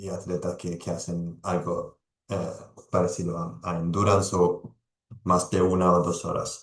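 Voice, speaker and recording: With an Italian accent, a man speaks fairly slowly in a very deep, low voice and a flat, monotone delivery. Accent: non-native Spanish, Italian. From Italy. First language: Italian (speaking Spanish). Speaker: sports nutrition expert, pharmacist. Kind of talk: presentation to a team. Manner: halting, many fillers and repetitions.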